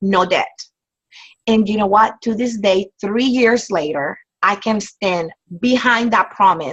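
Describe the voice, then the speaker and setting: At a medium pitch and a moderate pace, a woman's somewhat breathy voice shows ordinary pitch variation. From outside the US, immigrant. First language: not English. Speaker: network marketing distributor. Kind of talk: casual advice talk. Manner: animated.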